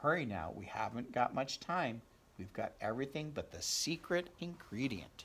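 Plain reading aloud comes through here. The intonation is lively.

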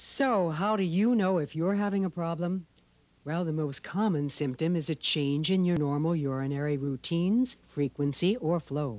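A woman's ordinary speaking voice, fairly low in pitch, at a moderate pace. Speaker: TV talk show host. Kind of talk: call-in health talk show. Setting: studio.

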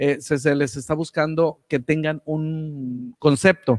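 A man talks at a fairly slow pace and with fairly even intonation, the background quiet. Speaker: radio announcer. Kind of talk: live online radio show hosting. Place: studio. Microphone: studio mic.

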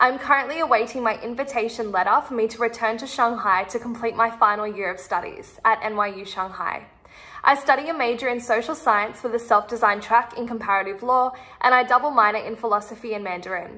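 Speaking very fast with an Australian accent, a woman has a bright, sharp tone and big swings in loudness against a quiet background. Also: ordinary pitch variation. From Sydney, Australia. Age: 20s. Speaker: university student. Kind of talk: application video statement. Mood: confident, earnest, friendly. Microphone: phone near.

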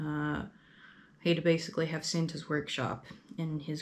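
A woman speaks in a very deep, low voice with an American accent. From US Midwest. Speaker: YouTuber. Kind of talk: casual vlog monologue. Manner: halting, many fillers. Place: home room. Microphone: camera far.

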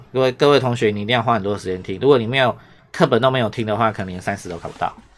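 In a Taiwanese accent, a man talks at a very fast pace. His pitch is fairly low, with ordinary variation. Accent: Taiwanese Mandarin. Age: 40s. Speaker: Japanese language teacher. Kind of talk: online lesson commentary. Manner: animated.

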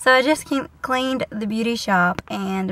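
Her intonation fairly even, a woman speaks at a moderate pace, and the sound is dry with no echo. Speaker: vlogger. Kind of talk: casual vlog chat. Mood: relaxed, cheerful. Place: car. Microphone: phone near.

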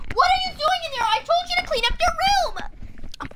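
In a put-on character voice with extremely high pitch, a woman speaks at a moderate pace over light background noise. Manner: scolding.

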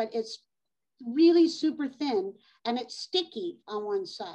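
The surroundings are quiet. A woman talks fairly slowly. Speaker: model railroad hobbyist presenter. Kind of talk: hobby presentation. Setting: video call. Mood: relaxed, chatty. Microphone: video call.

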